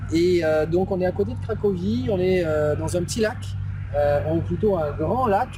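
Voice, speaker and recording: A man talks at a moderate pace. Music plays in the background, and room echo is audible. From Bordeaux, France. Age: 30s. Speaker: interviewer, online entrepreneur. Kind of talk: interview. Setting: outdoors by a lake. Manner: hesitant, many fillers.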